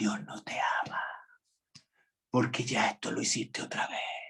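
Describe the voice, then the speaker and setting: A whispered, put-on character voice at a fairly slow pace. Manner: sly, whispering, insinuating.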